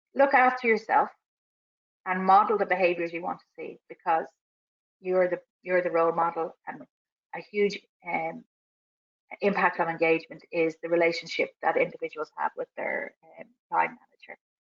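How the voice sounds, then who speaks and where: A woman with an Irish accent, big swings in loudness, and long, frequent pauses. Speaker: business coach running a webinar. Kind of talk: webinar presentation. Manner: fast.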